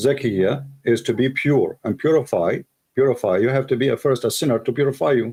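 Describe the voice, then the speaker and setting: With an Arabic accent, a man of medium pitch talks at a fairly quick pace, keeping his loudness very even. His tone is dark, mellow and somewhat breathy. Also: ordinary pitch variation. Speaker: debater. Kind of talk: heated debate.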